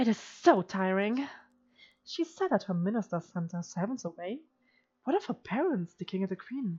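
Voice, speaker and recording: A woman with a medium-pitched, somewhat breathy voice and a dark, mellow tone speaks at a moderate pace with lively intonation. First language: not English. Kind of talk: reading a text adventure game aloud. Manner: practiced feminine voice.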